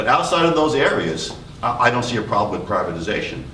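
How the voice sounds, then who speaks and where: Amid noticeable background noise and audible room echo, a man with a New York accent talks with lively intonation. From New York City. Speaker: retired police officer, panelist. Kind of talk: panel discussion.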